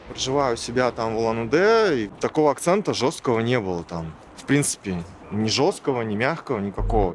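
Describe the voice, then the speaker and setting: A man speaks at medium pitch and a fairly quick pace with lively intonation. His loudness swings widely, and music plays in the background. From Buryatia, Ulan-Ude. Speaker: interviewee. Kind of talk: interview testimony.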